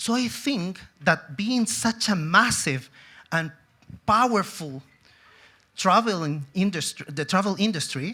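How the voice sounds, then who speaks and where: At a very slow pace, a man with a high pitch uses a raised, projected voice, a bright, sharp tone and lively intonation. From Chile. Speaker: tourism executive. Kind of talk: conference talk.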